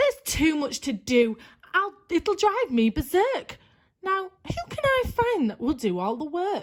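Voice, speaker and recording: Shrill, put-on character voice from a woman, extremely high in pitch, with very wide pitch swings and a fairly slow pace. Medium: read story. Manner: snappish, commanding.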